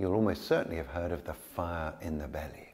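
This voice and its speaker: A man talks at a fairly quick pace with a dark, mellow tone. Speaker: yoga teacher. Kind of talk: tutorial. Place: studio. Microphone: lapel.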